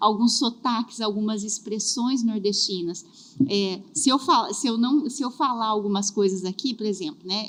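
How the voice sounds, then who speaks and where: Fairly slow speech from a woman, fairly high in pitch, with ordinary pitch variation. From southern Brazil. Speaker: career and HR specialist. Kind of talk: podcast interview.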